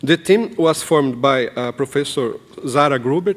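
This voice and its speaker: A fairly slow pace with ordinary pitch variation, in a Brazilian Portuguese accent. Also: man. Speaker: professor and documentary filmmaker. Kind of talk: conference presentation. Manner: halting, many fillers.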